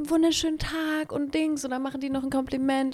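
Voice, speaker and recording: A woman's high-pitched voice. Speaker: podcast co-host. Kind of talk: casual chat.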